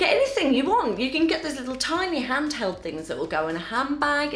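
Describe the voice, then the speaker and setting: Music plays in the background as a woman with a British accent speaks in a warm tone. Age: 50s. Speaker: menopause lifestyle vlogger. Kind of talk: casual talk to camera. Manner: chatty, warm, humorous.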